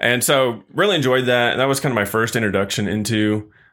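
Speaking at a moderate pace with fairly even intonation, a man with an American accent has an unremarkable speaking voice. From Missouri. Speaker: state forest service worker. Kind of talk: casual interview.

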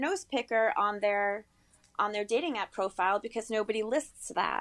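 Using a normal speaking voice, a woman talks at a moderate pace with lively intonation. The recording is very clean, with a silent background. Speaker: freelance writer. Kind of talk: interview.

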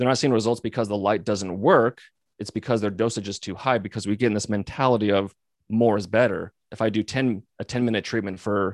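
A man talks in a normal speaking voice at a fairly quick pace, his pitch fairly low, with a dry, close sound with no echo on a very clean recording with a silent background. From US, Missoula, Montana. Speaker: physical therapist and company founder. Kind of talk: interview conversation.

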